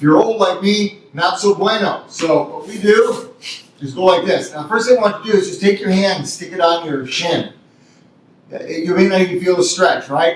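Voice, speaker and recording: Over noticeable background noise, a man with a high pitch talks at a moderate pace, his pitch varying in an ordinary way while his loudness swings widely. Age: 60s. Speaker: martial arts instructor. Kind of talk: tutorial. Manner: casual, halting with fillers.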